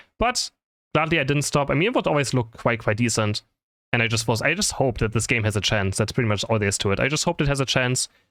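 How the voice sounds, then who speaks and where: Talking at a very fast pace, a man with a non-native accent keeps a medium pitch. His intonation is lively. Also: dry, close sound with no echo, very clean recording, silent background. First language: not English. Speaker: gaming content creator and caster. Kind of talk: casual Q&A chat. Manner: mumbling.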